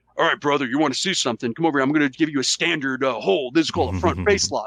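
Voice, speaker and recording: A man puts on a character voice at medium pitch. He sounds confident and talks at a very fast pace. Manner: confident, tough.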